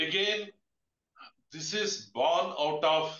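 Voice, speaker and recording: Audible room echo surrounds the voice. A man speaks at a fairly high pitch. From India. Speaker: webinar moderator, fire industry professional; webinar host, moderator. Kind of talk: webinar moderation. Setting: video call webinar. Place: office. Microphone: webcam.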